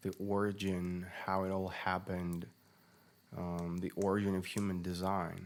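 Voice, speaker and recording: A man's very deep, low voice, monotone and flat, at a fairly slow pace. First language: not English. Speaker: podcast host, human design analyst. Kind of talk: unscripted solo podcast monologue. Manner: halting, many fillers and restarts.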